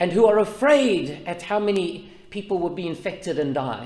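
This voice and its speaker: Loud, high-pitched speech from a man with lively intonation and audible room echo. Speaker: pastor. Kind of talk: sermon.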